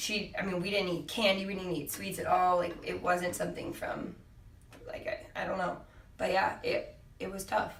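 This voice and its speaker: A woman with an American accent at a moderate pace, with audible room echo and noticeable background noise. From California, San Diego. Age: 20s. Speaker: fitness coach and cancer survivor. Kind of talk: podcast interview. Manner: conversational, halting with fillers.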